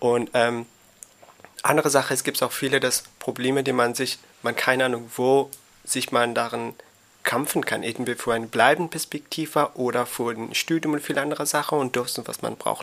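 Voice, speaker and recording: Over noticeable background noise, a man of medium pitch speaks at a moderate pace with fairly even intonation. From Afghanistan. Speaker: migrant youth counselor. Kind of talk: casual interview. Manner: halting, searching for words.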